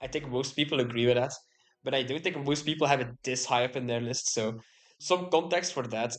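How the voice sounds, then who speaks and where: Someone speaks at a fairly quick clip. The accent is Flemish. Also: man, medium pitch for a man, ordinary pitch variation. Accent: Belgian Dutch (Flemish) accent in English. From Belgium (Dutch-speaking). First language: Dutch. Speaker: YouTuber. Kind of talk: casual monologue.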